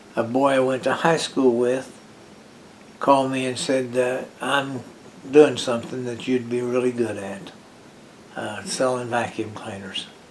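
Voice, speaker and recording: With an American accent and fairly even intonation, the speaker goes at a fairly slow pace with long, frequent pauses, amid noticeable background noise and audible room echo. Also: man, medium pitch for a man. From West Virginia. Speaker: retired former college football player. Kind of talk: oral history interview. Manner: halting.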